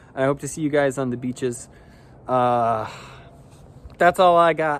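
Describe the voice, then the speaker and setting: The speaker has an ordinary speaking voice, talking at a moderate pace with ordinary pitch variation. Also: man, fairly high pitch for a man. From US Midwest, West Michigan. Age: 30s. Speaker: salesman. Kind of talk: audition video, casual self-introduction. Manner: casual, filler-heavy.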